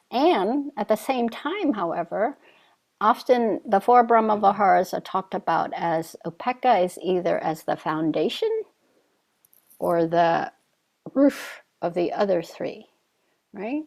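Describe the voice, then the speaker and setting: In a very clean recording with a silent background, a woman with a Vietnamese accent speaks at a fairly high pitch, with very wide pitch swings and long, frequent pauses. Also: fairly slow pace. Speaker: Zen teacher. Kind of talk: dharma talk. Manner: halting.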